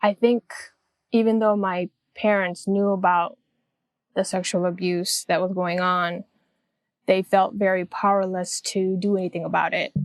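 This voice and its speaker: With an American accent and a medium pitch, a woman speaks in a monotone, flat intonation with long, frequent pauses, the sound dry and close with no echo. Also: moderate pace, very clean recording, silent background. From South Korea until 8, then United States. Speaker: abuse survivor. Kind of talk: testimony.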